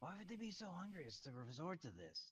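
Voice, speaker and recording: A man's put-on character voice, high in pitch and fairly quick in pace. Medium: actual play.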